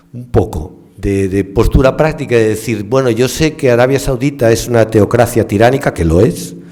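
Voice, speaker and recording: A man talks in a mid-range pitch while clear background noise carries on around him. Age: 60s. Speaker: ecology professor and scientist. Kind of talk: panel discussion. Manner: hesitant, with fillers.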